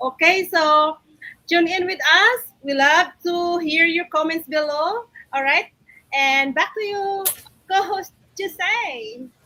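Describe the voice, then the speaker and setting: Raising and projecting her voice, a woman with a Visayan Filipino accent speaks very slowly at an extremely high pitch with a bright, sharp tone. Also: ordinary pitch variation. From Philippines, Visayas. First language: Cebuano (Bisaya). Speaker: online business owner, former teacher and caregiver. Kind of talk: live stream chat.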